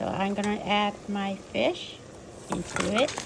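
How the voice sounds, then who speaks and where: With a non-native accent, a woman talks at a very slow pace and medium pitch amid noticeable background noise. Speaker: home cook. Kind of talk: cooking tutorial.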